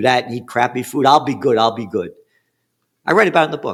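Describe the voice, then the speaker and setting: A man talks with medium pitch and ordinary pitch variation. The recording is very clean, with a silent background. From New York City, the Bronx. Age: 70s. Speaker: trend forecaster. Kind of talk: interview. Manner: animated.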